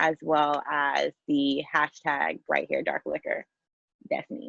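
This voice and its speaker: A woman speaks in an American accent. Her pace is very slow. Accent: New York accent, comes out when passionate. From Queens, New York. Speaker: podcast guest, founder of a social media project. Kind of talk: casual podcast chat.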